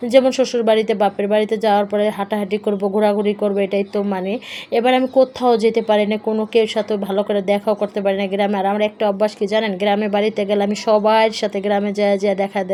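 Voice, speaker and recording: A woman talks at medium pitch with monotone, flat intonation against noticeable background noise. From rural Bangladesh. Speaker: vlogger. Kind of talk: casual vlog narration. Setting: in a car.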